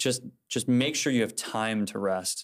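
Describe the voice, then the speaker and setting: A man with a Midwestern American accent talks at a very slow pace. His voice is fairly low, with fairly even intonation. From Indiana, Fort Wayne. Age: 20s. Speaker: college student. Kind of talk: casual chat. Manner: halting, many fillers.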